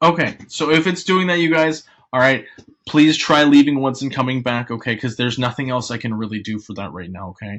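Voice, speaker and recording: With an American accent, a man talks at a fairly quick pace and a medium pitch. His animated tone brings lively intonation and big swings in loudness. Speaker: online math teacher. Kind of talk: online class lesson. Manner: fast. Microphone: glitchy connection.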